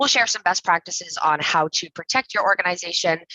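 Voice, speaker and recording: A fairly quick pace from a woman with an American accent. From New England. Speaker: cybersecurity company success manager. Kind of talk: webinar presentation. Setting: live webinar video call. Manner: fast.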